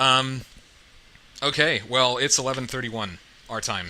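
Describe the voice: This man's tone is bright and sharp, at a medium pitch with ordinary pitch variation. He speaks at a fairly slow pace.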